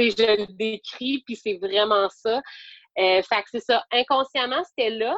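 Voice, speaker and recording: With a Quebec accent, a woman speaks very slowly at a fairly high pitch with ordinary pitch variation. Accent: Québécois French. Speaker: yoga teacher. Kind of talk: interview. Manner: hesitant, many fillers.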